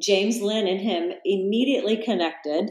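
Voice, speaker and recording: A woman with an unremarkable speaking voice talks at a fairly slow pace. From US Midwest, Salina, Kansas. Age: 50s. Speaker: yoga teacher and vegan author. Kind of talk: interview.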